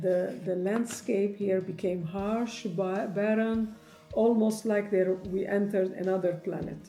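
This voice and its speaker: A woman at a medium pitch with fairly even intonation, a fairly slow pace and hardly any pauses, with audible room echo and music in the background. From Lebanon. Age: 60s. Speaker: hiker. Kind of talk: personal narration. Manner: halting.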